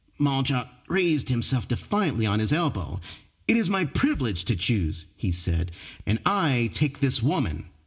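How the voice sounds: Natural voice, reading aloud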